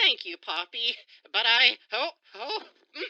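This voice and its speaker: Using a high-pitched, put-on character voice, a woman talks at a fairly slow pace. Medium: audio drama. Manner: dry, formal, reserved.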